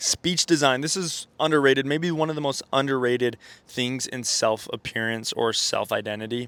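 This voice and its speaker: Medium-pitched and bright, sharp in tone, this man speaks with ordinary pitch variation. His pace is moderate. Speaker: self-improvement YouTuber. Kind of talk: casual monologue to camera. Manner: casual, halting with fillers.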